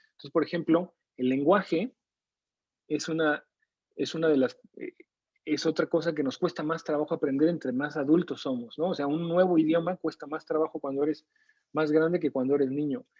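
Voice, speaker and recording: In a Mexico City accent, a man speaks at a moderate pace with a fairly high pitch. His intonation is fairly even, and the sound is dry and close with no echo. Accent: Mexico City (chilango). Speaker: neuroscience lecturer and researcher. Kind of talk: online lecture. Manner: conversational, with frequent fillers.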